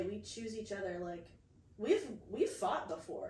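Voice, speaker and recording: A woman with a medium pitch speaks amid audible room echo. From USA. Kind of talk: casual chat.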